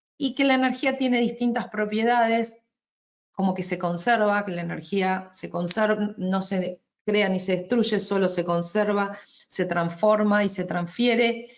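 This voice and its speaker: A woman speaks with an Argentine accent at a medium pitch. Her pace is fairly slow and her pitch variation ordinary. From Argentina. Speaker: energy efficiency advisor, webinar presenter. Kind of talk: webinar presentation. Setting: online webinar. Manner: hesitant, with fillers and restarts.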